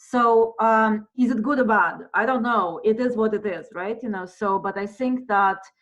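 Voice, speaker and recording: Her pitch fairly high, a woman with a non-native accent speaks with fairly even intonation. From monolingual non-English culture. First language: not English. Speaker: theatre professor. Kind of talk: lecture Q&A. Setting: video call. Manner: halting, many fillers.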